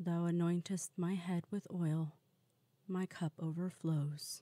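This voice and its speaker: A woman speaks at a fairly slow pace in a calm, gentle tone that is dark and mellow, with a dry, close sound and no echo. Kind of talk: scripture reading. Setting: quiet, no background noise.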